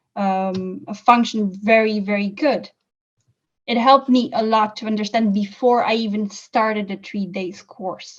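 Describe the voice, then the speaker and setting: Somewhat breathy and fairly high-pitched, a woman with a non-native accent speaks at a fairly slow pace. Her loudness swings widely, while her pitch varies in an ordinary way. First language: not English. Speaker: course graduate giving testimonial. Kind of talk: interview testimonial.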